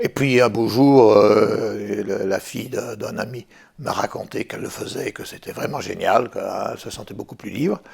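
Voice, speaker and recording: Loudness swings greatly as a man talks at a moderate speed. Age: 60s. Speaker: retired French teacher, diabetes patient. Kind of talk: patient testimony. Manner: hesitant, many fillers.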